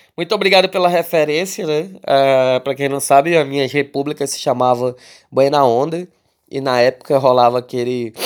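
In a very clean recording with a silent background, a man with a normal speaking voice talks at a moderate pace, his fairly high pitch showing ordinary variation. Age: 20s. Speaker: podcast host and rap label manager. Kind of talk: casual monologue podcast answering listener questions. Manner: casual, with frequent filler words.

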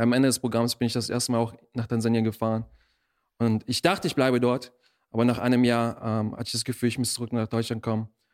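Very fast and monotone, a man at a medium pitch speaks in a very clean recording with a silent background and a dry, close sound with no echo. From Germany, born in Russia. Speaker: missionary. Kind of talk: interview testimony.

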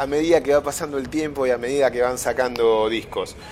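A man amid noticeable background noise. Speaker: radio host. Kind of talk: radio music show presenting.

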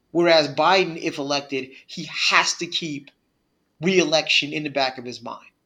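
A man with an American accent speaks at a moderate pace in a fairly high pitch, his intonation fairly even. It is an ordinary speaking voice, with big swings in loudness. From US Northeast. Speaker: podcast co-host. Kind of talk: casual chat. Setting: virtual studio.

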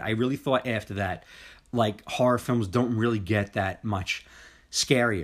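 A man speaks in a plain, everyday voice. His pace is moderate and his pitch varies by an ordinary amount. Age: 40s. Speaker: podcast host. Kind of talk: casual chat.

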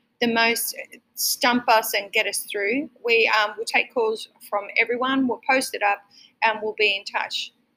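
A woman with an Australian accent speaks at a fairly slow pace with a fairly high pitch. Her tone is bright and sharp, and her intonation is monotone and flat. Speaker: restaurant owner and podcast host. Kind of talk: casual chat. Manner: friendly, jokey.

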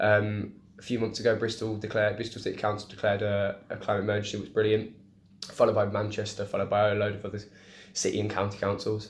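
A man's very fast, fairly low, somewhat breathy voice in a Birmingham accent, monotone and flat, with audible room echo. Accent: Birmingham (Brummie) English. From English Midlands, Birmingham. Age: young. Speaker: climate activist. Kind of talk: casual interview. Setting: in person at a bar.

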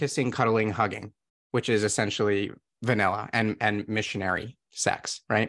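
At a moderate pace and medium pitch, a man talks in a plain, everyday voice against a quiet background. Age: 30s. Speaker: sex empowerment coach. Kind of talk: casual chat.

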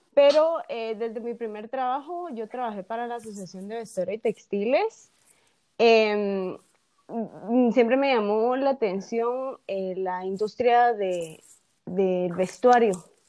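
A woman's dark, mellow tone at a fairly high pitch, very slow in pace, with big swings in loudness. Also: ordinary pitch variation. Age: 30s. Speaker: entrepreneur. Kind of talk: interview. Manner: halting, repeats words.

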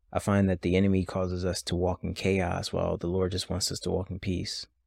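A man speaks at a moderate pace in a very deep, low voice. The recording is very clean with a silent background and a dry, close sound with no echo. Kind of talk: devotional talk with prayer and Bible teaching. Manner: calm, soothing.

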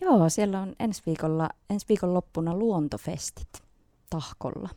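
Dark, mellow female tone with ordinary pitch variation. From Finland, Nilsiä (Northern Savo). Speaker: singer-songwriter. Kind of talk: radio interview.

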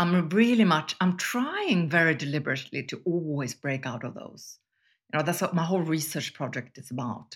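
A woman's fairly low voice in a Swedish accent, moderate pace, on a very clean recording with a silent background. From Sweden. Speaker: business school professor and columnist. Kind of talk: casual interview conversation.

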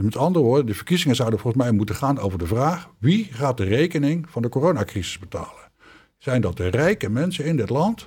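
A man speaks at a fairly quick pace in a medium pitch, his somewhat breathy voice rising and falling in very wide pitch swings. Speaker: former politician. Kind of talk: interview. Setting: studio.

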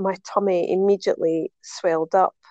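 A woman speaks in a Scottish accent at a medium pitch. The sound is dry and close with no echo, and the background is quiet. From Scotland. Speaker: podcast guest.

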